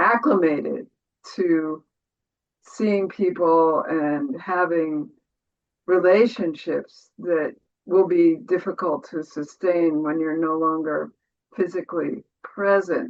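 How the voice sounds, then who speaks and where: Speaking at a very slow pace, the woman's pitch varies in an ordinary way. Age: 70s. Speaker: meditation student. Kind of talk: Q&A question.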